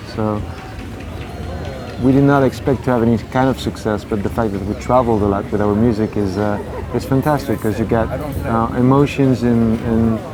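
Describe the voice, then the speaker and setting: A man with a French accent speaks at a medium pitch and moderate pace, with fairly even intonation and long, frequent pauses, over music in the background and audible room echo. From France, Paris. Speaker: singer. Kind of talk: interview. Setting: outdoors. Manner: halting.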